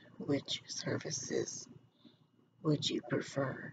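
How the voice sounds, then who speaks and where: A woman with a very deep, low pitch speaks at a very slow pace in a somewhat breathy voice over noticeable background noise. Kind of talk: casual explanation to viewers. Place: home room.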